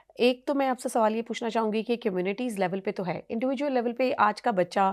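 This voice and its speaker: Here is a woman with an ordinary speaking voice, a fairly high pitch and ordinary pitch variation. The recording is very clean, with a silent background. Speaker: radio host and programme manager. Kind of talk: radio podcast host, conversational interview.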